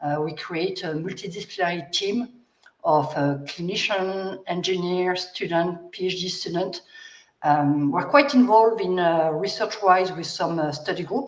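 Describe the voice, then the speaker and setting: With a strong French accent, the speaker talks at a moderate pace and uses ordinary pitch variation. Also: woman. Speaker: biomechanics researcher. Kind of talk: panel discussion. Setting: livestream.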